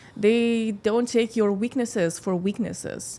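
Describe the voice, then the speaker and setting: Speaking at a fairly slow pace, a woman with a slight Scandinavian accent has a fairly high pitch and a dark, mellow tone. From Lithuania. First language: Lithuanian. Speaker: model and singer. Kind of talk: podcast interview. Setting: studio. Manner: halting.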